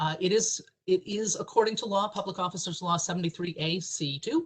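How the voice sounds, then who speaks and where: A somewhat breathy woman's voice at a medium pitch, with fairly even intonation. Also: fairly quick pace. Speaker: government ethics official presenting training. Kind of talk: training webinar presentation. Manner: fast.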